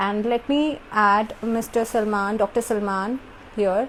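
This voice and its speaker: Against noticeable background noise, a woman talks at a fairly slow pace with a fairly high pitch and fairly even intonation. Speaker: YouTube host. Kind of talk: live stream interview. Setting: live video call. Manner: code-switching Hindi and English.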